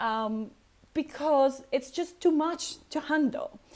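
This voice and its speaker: Speaking at a fairly slow pace with a non-native accent, the voice swings very widely in pitch. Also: woman. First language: not English. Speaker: personality type coach and vlogger. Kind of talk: casual vlog monologue. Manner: hesitant, many fillers.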